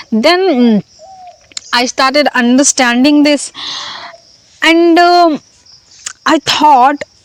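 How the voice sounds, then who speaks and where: A woman speaks very slowly in a high voice with lively intonation. Noticeable background noise runs behind her. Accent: Indian. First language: Hindi. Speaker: language learning vlogger. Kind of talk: casual vlog monologue. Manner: halting, many fillers.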